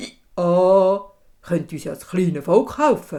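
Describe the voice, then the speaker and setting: Using a put-on character voice, the speaker talks at a middle pitch and a fairly slow pace. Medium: read story. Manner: brays mid-sentence, hee-haw interjections.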